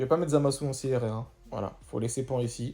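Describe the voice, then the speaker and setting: A man talks in a medium pitch with a dark, mellow tone. His voice is somewhat breathy. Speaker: gaming youtuber. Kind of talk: gameplay commentary. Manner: fast.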